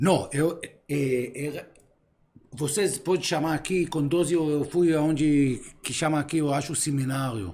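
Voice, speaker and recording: A man's dark, mellow tone, fairly high in pitch, at a fairly slow pace. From Israel. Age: 50s. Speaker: philosopher. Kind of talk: casual chat. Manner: halting.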